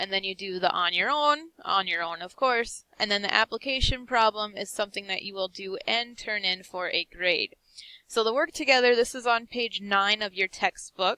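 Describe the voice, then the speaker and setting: The tone is bright and sharp. The sound is dry and close with no echo. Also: woman, medium pitch for a woman, ordinary pitch variation. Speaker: high school business teacher. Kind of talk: recorded lesson tutorial. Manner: fast.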